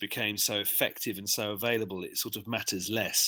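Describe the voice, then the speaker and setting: In an English accent, a man speaks with a bright, sharp tone at a fairly low pitch. His intonation is a flat monotone, and his pace is moderate. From England, London. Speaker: software developer. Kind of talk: interview. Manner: hesitant, many fillers.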